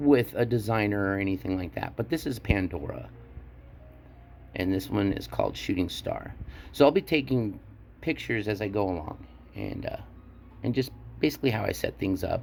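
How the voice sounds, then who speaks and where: A man speaks in a fairly low pitch with very wide pitch swings. He leaves long, frequent pauses while music plays in the background. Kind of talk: product show-and-tell tutorial. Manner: halting.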